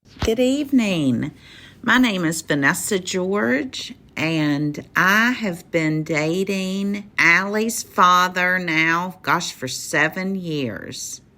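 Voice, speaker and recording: A woman's bright, sharp voice at medium pitch in a Southern accent, very slow pace, lively intonation, very clean recording with a silent background. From West Virginia. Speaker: listener sharing love story. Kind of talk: personal story.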